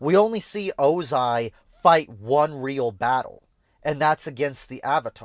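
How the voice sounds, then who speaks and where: Using an ordinary speaking voice, a man talks fairly slowly at a fairly high pitch with lively intonation and big swings in loudness, in a very clean recording with a silent background and a dry, close sound with no echo. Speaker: streamer reacting to videos. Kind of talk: casual livestream reaction commentary. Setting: livestream.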